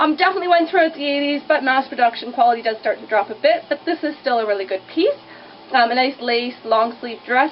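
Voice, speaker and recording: Over noticeable background noise, a woman mumbles at a very fast pace in a high pitch with lively intonation. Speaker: vintage clothing shop owner. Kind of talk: casual product showcase to camera. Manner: fast, chatty; mumbling.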